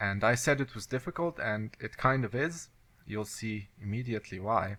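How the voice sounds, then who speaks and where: A man with a non-native accent speaks at a moderate pace and medium pitch, with ordinary pitch variation. His tone is bright and sharp, and the recording is very clean with a silent background. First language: not English. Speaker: video game let's play commentator. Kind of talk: gameplay commentary. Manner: halting.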